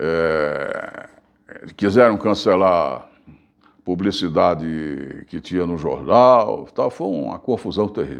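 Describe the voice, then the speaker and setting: Using vocal fry, a man talks at a very slow pace. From Bahia, Brazil. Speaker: journalist and radio broadcaster. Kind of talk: interview answer. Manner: casual storytelling.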